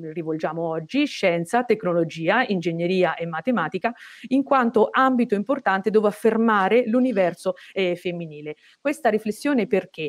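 The speaker is a woman talking at a moderate pace. The background is quiet. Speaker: moderator. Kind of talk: formal event introduction. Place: office. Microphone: earbuds.

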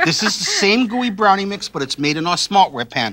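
Very fast and enthusiastic, the raised, projected voice cuts through noticeable background noise. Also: man. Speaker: TV chef and infomercial host. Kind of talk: infomercial product demonstration. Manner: enthusiastic, salesy. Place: studio. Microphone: lapel.

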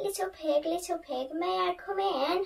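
A woman uses a put-on character voice pitched extremely high. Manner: sweet, coaxing.

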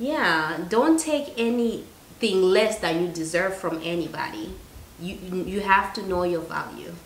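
Lively intonation at a moderate pace, with audible room echo and light background noise. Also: woman. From Zimbabwe. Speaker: YouTuber, guest. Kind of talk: casual chat. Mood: earnest, advising. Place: kitchen. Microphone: camera far.

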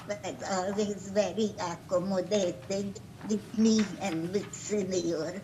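Over noticeable background noise, a woman at medium pitch speaks at a very slow pace. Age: 90s. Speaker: applicant at zoning hearing. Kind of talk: testimony. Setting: video call.

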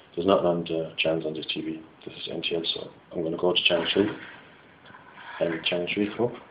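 Over light background noise, a man with a West Clare Irish accent talks at a very fast pace, his very deep, low voice kept to fairly even intonation. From West Clare, Ireland. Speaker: engineering student. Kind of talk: product demo talk to camera. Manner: casual, hesitant. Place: home room. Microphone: phone near.

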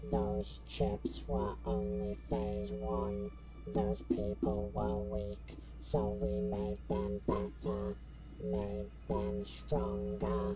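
A put-on character voice speaks at a very slow pace over clear music in the background. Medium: audio drama.

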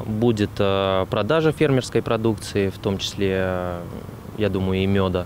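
Over light background noise, a man talks in a normal speaking voice. His pitch variation is ordinary. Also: dry sound with no echo. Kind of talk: interview answer. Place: garden. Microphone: handheld.

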